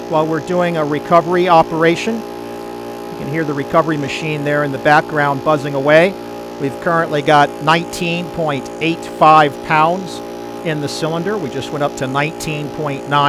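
The speech moves at a moderate pace, sounding dry with no echo, while clear music plays in the background. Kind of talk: tutorial. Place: garage. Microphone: phone near.

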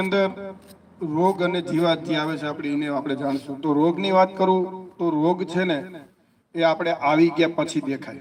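The man's pitch is high and his intonation fairly even. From Gujarat, Junagadh (Saurashtra). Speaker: agrochemical company representative. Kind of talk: product presentation to farmers.

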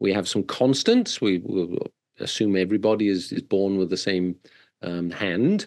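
Against a quiet background, a man with a British accent speaks at a fairly slow pace, his pitch fairly low and his intonation fairly even. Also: very even loudness. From southern UK. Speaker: corporate wellness coach. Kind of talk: podcast interview. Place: home room. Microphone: video call.

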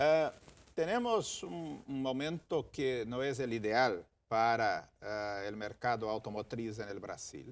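Moving at a very slow pace, a man speaks with ordinary pitch variation. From Brazil, Rio Grande do Sul. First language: Portuguese (speaking Spanish). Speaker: ambassador; guest. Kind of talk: TV interview. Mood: calm, measured. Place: studio. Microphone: lapel.

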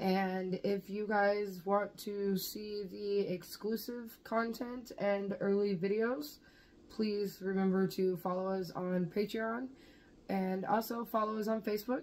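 With an American accent, a woman talks at a very slow pace, her medium pitch held in fairly even intonation. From Kansas. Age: 30s. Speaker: vlogger. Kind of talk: casual vlog chat; channel outro appeal. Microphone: phone near.

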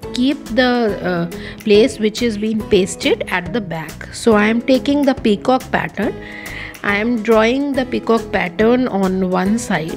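A woman talks at a fairly slow pace. Clear music can be heard behind her. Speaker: craft teacher. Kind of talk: tutorial. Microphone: phone near.

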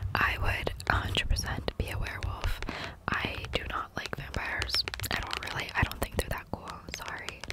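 A woman whispers in a playful tone. Noticeable background noise runs underneath. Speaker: ASMR content creator. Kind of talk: ASMR trigger video, casual talk to camera. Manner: soft, repetitive, playful.

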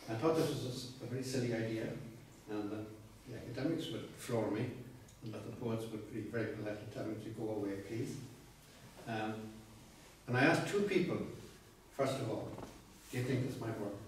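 A man speaks with strong room echo around him. Light background noise can be heard. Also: ordinary pitch variation, fairly quick pace. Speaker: poet giving a talk. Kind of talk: lecture. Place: meeting room. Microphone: camera far.

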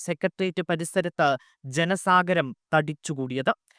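Recorded very cleanly against a silent background, this man's high-pitched voice has ordinary pitch variation and a dry, close sound with no echo. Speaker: news anchor. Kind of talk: news reading. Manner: formal.

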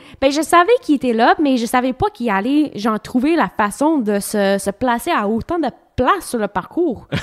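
The speaker moves at a moderate pace with very wide pitch swings, recorded in a dry, close sound with no echo. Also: woman, high pitch for a woman. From Ontario, Canada. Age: 30s. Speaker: professional cyclist. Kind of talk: casual interview chat.

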